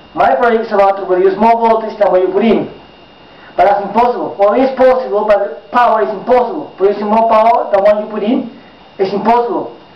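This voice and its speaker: A man talks at a very fast pace and a high pitch with ordinary pitch variation. Noticeable background noise is present. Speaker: amateur inventor. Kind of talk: casual talk to camera.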